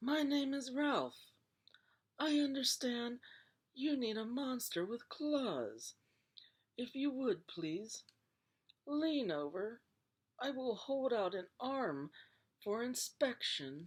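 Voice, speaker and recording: A female-sounding, put-on character voice with a high pitch moves very slowly with long, frequent pauses. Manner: polite, courteous.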